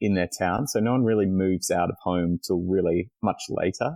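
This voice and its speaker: With an Australian accent, a man speaks in a very deep, low pitch with a dark, mellow tone. His intonation stays fairly even against a quiet background. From Australia, Melbourne. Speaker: communications planner. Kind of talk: podcast interview.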